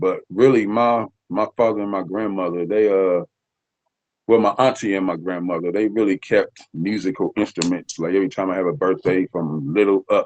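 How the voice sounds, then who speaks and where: A man with an American accent talks at a moderate pace in a fairly low pitch, with ordinary pitch variation. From Nebraska. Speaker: rapper. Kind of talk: interview.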